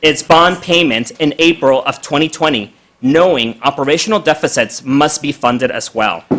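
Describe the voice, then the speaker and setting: An ordinary speaking voice, this man's is fairly high in pitch, with ordinary pitch variation, a moderate pace and hardly any pauses. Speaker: public commenter at city council. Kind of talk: public comment reading prepared statement. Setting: city council meeting.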